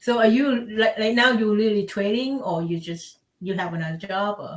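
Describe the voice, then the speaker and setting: A moderate pace in a Thai accent. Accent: Thai accent noticeable. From Thailand. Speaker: stream participant. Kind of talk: casual chat.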